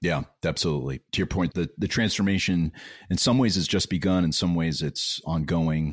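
A man with an American accent speaks at a moderate pace in a very deep, low voice, with ordinary pitch variation and very even loudness. The recording is very clean, with a silent background and a dry, close sound with no echo. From New York area, US. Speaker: podcast co-host, services leader.

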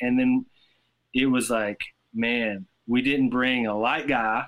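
A man's medium-pitched voice with a Southern US accent. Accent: Southern American. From US South, Tennessee. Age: 30s. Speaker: rock guitarist. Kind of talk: casual chat.

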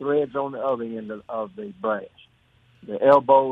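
Speaking in a Southern US accent at a fairly slow pace, a man keeps a medium pitch with ordinary pitch variation. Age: 80s. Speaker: caller. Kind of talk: casual chat. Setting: phone call.

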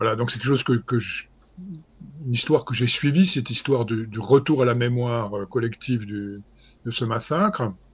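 A somewhat breathy man at medium pitch and a moderate pace, with ordinary pitch variation, long, frequent pauses and a quiet background. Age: 60s. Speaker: historian. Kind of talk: interview.

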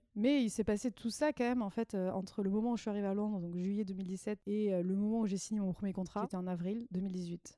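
The voice has a dark, mellow tone and fairly even intonation. It moves at a fairly quick pace with hardly any pauses. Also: woman, medium pitch for a woman. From southwestern France. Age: 30s. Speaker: former expatriate. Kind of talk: casual chat.

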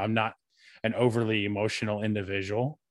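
A man's unremarkable speaking voice, fairly low in pitch, at a fairly quick pace with an American accent. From US South, North Carolina. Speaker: podcast co-host being interviewed. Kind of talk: interview.

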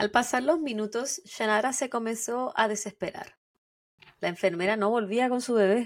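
At a moderate pace, a woman with a Chilean accent speaks in a fairly high pitch with ordinary pitch variation. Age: 30s. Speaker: true crime podcast co-host. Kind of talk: storytelling narration.

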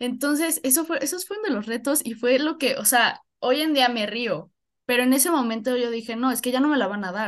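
A woman with a central Mexican accent speaks in a high voice with lively intonation over a quiet background. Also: fairly quick pace. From Mexico, Puebla. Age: 20s. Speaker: university student. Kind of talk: casual chat.

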